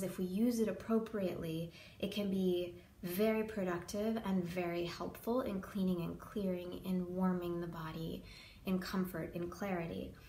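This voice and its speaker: With an American accent, a woman talks at a medium pitch and a moderate pace, her intonation fairly even. There is audible room echo and noticeable background noise. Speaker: yoga teacher. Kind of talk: tutorial. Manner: hesitant, many filler ums.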